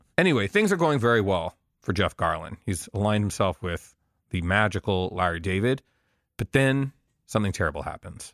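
Recorded very cleanly with a silent background and a dry, close sound with no echo, a man uses a plain, everyday voice with lively intonation. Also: fairly low pitch for a man, fairly quick pace. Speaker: entertainment journalist and podcast host. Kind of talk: casual chat.

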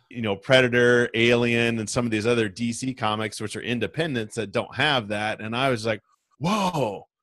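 With an American accent, a man speaks at a moderate pace in a normal speaking voice, his pitch medium and its variation ordinary. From US Midwest, rural west Nebraska. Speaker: podcaster, guest. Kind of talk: casual chat.

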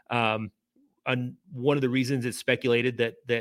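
A man at medium pitch and moderate pace, with a Kentucky accent, on a very clean recording with a silent background. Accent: Kentucky (US South). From central Kentucky (Lebanon, Marion County). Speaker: author and journalist. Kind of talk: interview. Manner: halting.

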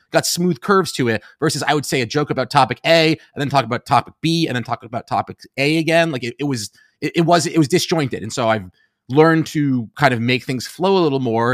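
Speaking at a very fast pace, a man has an American accent. His pitch is fairly high with ordinary pitch variation. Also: dry, close sound with no echo, very clean recording, silent background. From New York City, Upper West Side Manhattan. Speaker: comedian. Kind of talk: casual chat.

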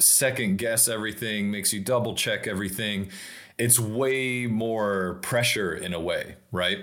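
Audible room echo surrounds the voice. A man speaks at a fairly slow pace with ordinary pitch variation. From Tennessee, near Nashville. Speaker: automotive storyteller and brand strategist. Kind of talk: casual chat.

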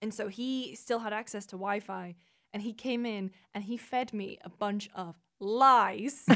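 A woman speaks at a fairly slow pace with fairly even intonation and a fairly high pitch. Her tone is bright and sharp on a very clean recording with a silent background. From northeast England. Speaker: games journalist. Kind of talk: casual chat.

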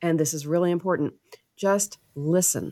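In a very clean recording with a silent background, a woman speaks in an unremarkable speaking voice with an American accent. Her pitch is fairly low, with ordinary pitch variation and a moderate pace. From US South, Tennessee (Waverly). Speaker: cardiologist and author. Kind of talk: interview.

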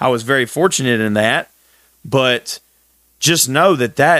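A man with a medium pitch is heard in a very clean recording with a silent background and a dry, close sound with no echo. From Texas. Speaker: podcast host, firefighter. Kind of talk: solo podcast monologue.

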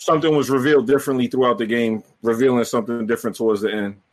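Speaking at a very fast pace, a man with a medium pitch uses ordinary pitch variation. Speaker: gaming content creator. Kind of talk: casual chat.

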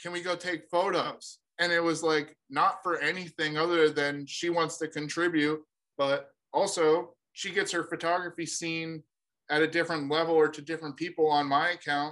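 A man's fairly high, bright, sharp voice with an American accent, monotone and flat at a moderate pace. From New Hampshire, US. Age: 30s. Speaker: business owner. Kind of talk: casual interview.

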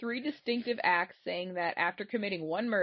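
Reading aloud in a natural voice, the speaker shifts pitch an ordinary amount.

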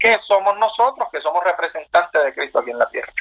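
A man's voice with ordinary pitch variation. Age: 30s. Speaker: pastor. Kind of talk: interview testimony.

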